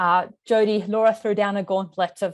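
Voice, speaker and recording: A woman's medium-pitched voice in an Australian accent, monotone and flat, at a moderate pace. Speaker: moderator. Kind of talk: webinar panel moderation.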